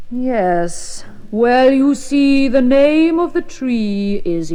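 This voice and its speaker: The voice is a put-on character with a high pitch. It moves at a very slow pace. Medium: read story.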